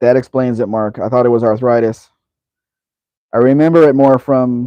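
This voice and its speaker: A man speaks in an American accent at a medium pitch. His pace is moderate and his intonation fairly even. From Los Angeles, San Fernando Valley. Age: 50s. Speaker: live stream host. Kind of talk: live Q&A stream, reading chat comments. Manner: casual, conversational.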